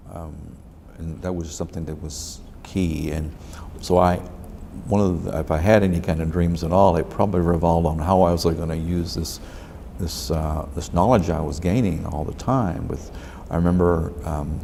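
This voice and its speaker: Audible room echo surrounds a man whose very deep, low voice holds a fairly even intonation. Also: moderate pace. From Texas, Dallas. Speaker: lawyer. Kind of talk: oral history interview. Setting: library room. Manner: halting.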